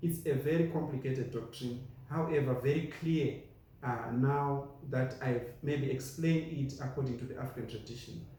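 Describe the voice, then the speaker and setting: Recorded with audible room echo, a man with a Zimbabwean accent talks at a fairly high pitch. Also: fairly even intonation, moderate pace. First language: Shona. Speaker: preacher. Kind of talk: sermon.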